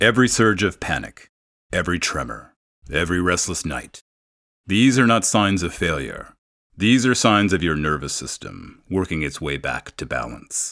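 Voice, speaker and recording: The pitch leaps very widely, with vocal fry and a gentle, calm tone. The recording is very clean, over a silent background. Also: man, very deep, low pitch for a man, moderate pace. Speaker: benzodiazepine withdrawal recovery guide with lived experience. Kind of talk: guided grounding and reassurance talk for withdrawal recovery. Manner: gentle, calm, compassionate.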